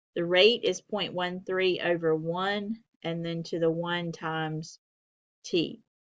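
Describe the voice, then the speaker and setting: At a very slow pace, a woman speaks in a fairly low pitch with fairly even intonation. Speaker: math instructor. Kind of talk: lecture.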